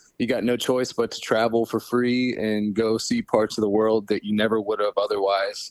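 Fairly low-pitched and fairly quick, a man's voice comes through dry and close with no echo. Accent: Midwestern US. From Ohio, small town between Cleveland and Youngstown. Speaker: professional mixed martial artist. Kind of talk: casual interview chat. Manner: animated.

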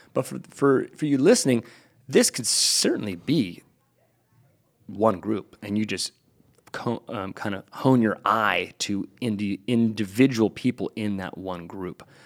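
A man with a normal speaking voice talks at a fairly slow pace and fairly low pitch, with ordinary pitch variation. The sound is dry and close with no echo. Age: 40s. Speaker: podcast host and personal trainer. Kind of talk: casual chat.

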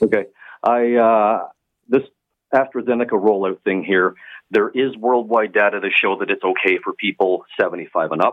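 In a Canadian accent, a man talks at a moderate pace. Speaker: caller. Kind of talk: call-in show.

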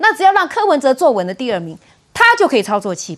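Speaking with a Taiwanese accent, a woman uses a high pitch, an animated tone and very wide pitch swings. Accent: Taiwanese Mandarin. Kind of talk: political talk show panel.

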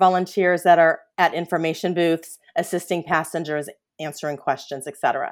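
With an American accent, a woman speaks at a fairly low pitch and a moderate pace with fairly even intonation, on a very clean recording with a silent background. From US Midwest, Kansas City, Missouri. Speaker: therapy dog program director. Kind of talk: interview conversation.

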